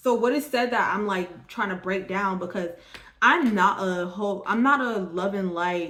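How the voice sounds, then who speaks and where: Audible room echo and noticeable background noise accompany a woman whose pitch is medium. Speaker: tarot card reader. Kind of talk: tarot reading monologue. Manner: stumbling over words.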